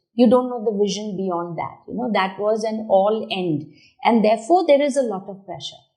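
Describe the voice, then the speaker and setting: A woman with a dark, mellow tone talks at a moderate pace and a fairly high pitch, her intonation lively. Her loudness swings widely, and the room has an audible echo. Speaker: talk show host. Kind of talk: interview. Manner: animated.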